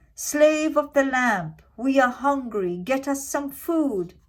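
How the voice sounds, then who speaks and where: A woman puts on a character voice, pitched high. Her intonation is lively and her pace fairly slow. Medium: read story.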